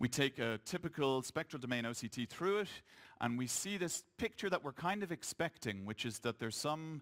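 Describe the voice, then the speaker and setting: With an Irish accent, a man talks at a fairly quick pace with lively intonation, the recording very clean with a silent background and a dry, close sound with no echo. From Ireland. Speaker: eye doctor. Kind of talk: conference lecture.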